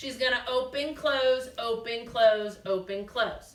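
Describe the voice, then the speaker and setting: A woman's raised, projected voice, high in pitch, with a slight Massachusetts accent, fairly slow pace, ordinary pitch variation and audible room echo. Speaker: gymnastics teacher. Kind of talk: instructional demonstration for kids. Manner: clear step-by-step coaching cues.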